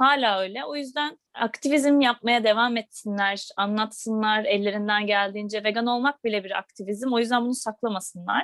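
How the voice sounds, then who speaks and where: Talking at a moderate pace with hardly any pauses, a woman uses an ordinary speaking voice, fairly high in pitch with ordinary pitch variation. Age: 20s. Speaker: vegan platform co-founder. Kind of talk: casual interview.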